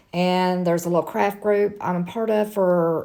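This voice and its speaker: A woman speaks at a moderate pace with a medium pitch and fairly even intonation. She has an unremarkable speaking voice. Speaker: crafter selling handmade items. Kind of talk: tutorial. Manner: casual, chatty.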